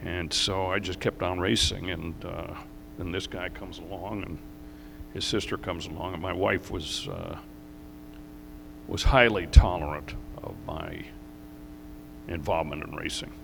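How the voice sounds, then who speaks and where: Speaking with an American accent, a man with a very deep, low voice moves at a moderate pace with ordinary pitch variation, big swings in loudness and long, frequent pauses, while audible room echo surrounds him. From New York, US. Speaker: racing driver and team owner. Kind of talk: interview on stage. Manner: halting.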